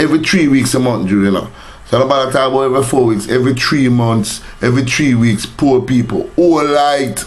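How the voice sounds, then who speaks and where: Over noticeable background noise and audible room echo, a man talks at a fairly quick pace with a medium pitch, ordinary pitch variation and very even loudness. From Jamaica. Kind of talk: rant / vlog. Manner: animated.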